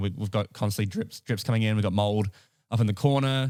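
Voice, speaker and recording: Speaking at a very fast pace with a New Zealand accent, a man keeps a fairly low pitch and fairly even intonation on a very clean recording with a silent background. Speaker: podcast co-host. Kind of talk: casual chat.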